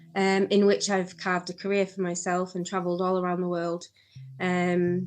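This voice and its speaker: Moderate pace and monotone, flat intonation, in a northern English accent. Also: woman, medium pitch for a woman. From northern England, Barrow-in-Furness, Cumbria. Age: 50s. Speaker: former fashion designer in recovery. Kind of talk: interview. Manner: hesitant, many fillers.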